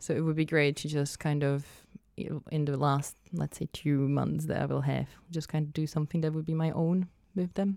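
Speaking with a Czech accent, a woman delivers her words with monotone, flat intonation in a dark, mellow tone, her pitch very deep and low. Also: moderate pace. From Czech Republic. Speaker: events and arts worker. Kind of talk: casual chat.

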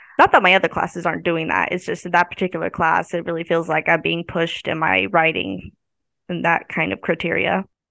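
A woman speaks fairly quickly with vocal fry. Her pitch is fairly low, with ordinary pitch variation. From US Midwest, northwest Missouri. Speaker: college student. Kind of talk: casual interview.

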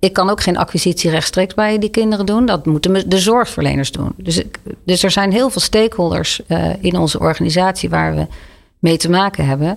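A woman's unremarkable speaking voice, medium in pitch, at a fairly quick pace with ordinary pitch variation. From Netherlands, Leiden. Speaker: charity director. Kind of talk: interview conversation.

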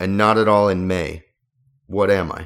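In a very clean recording with a silent background, a man with a fairly low pitch talks at a fairly slow pace in a normal speaking voice. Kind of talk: radio DJ patter: cheerful back-from-break welcome with the show sign-on. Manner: relaxed, laughing, easygoing and chatty.

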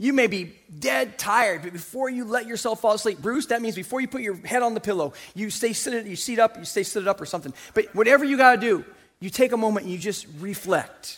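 Delivered at a very fast pace, the speech has an animated tone, lively intonation and big swings in loudness. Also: man, high pitch for a man. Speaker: pastor. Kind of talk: sermon. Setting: church. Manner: loud, animated; call-and-response with congregation.

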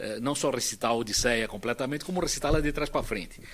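A man talks very fast at a medium pitch. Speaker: internet pioneer and executive. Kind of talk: panel discussion.

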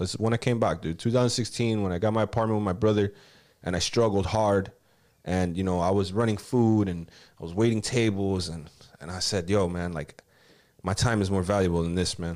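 The recording is very clean with a silent background, as a man speaks in a Miami accent at a fairly low pitch. He talks at a fairly quick pace with fairly even intonation. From Miami, Florida (Kendall), Cuban-American family. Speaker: rapper. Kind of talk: casual chat.

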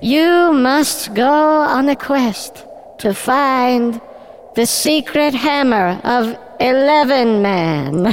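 Through clear background noise, a female-sounding, put-on character voice speaks very slowly at a high pitch. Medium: audio drama. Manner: pompous, rambling.

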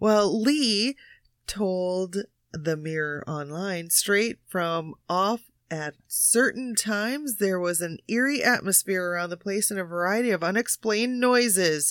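A woman with a normal speaking voice talks at a fairly slow pace, her medium pitch carried by lively intonation. The recording is very clean with a silent background and a dry, close sound with no echo. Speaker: panelist on a paranormal quiz show. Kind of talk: casual chat.

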